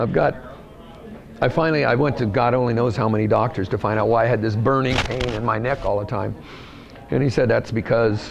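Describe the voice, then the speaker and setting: Audible room echo and noticeable background noise surround the voice. It moves at a fairly quick pace with ordinary pitch variation. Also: man. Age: 60s. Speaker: racer. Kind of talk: interview.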